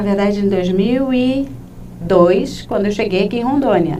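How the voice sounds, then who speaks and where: A woman's medium-pitched voice with lively intonation, amid noticeable background noise and audible room echo. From Rio de Janeiro, Brazil. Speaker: labor lawyer. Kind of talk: interview.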